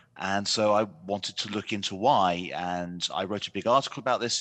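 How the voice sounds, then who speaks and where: A man with a British accent, a bright, sharp tone and fairly low pitch, at a moderate pace against a quiet background. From United Kingdom. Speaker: economics journalist. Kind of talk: panel discussion.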